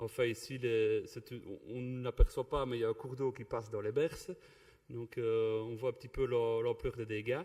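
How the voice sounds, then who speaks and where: A man with a Belgian accent and a dark, mellow tone, with fairly even intonation and big swings in loudness. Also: medium pitch for a man, moderate pace. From Belgium (Wallonia, Ardennes). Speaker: river contract project coordinator. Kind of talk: conference presentation. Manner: halting, many fillers and repetitions.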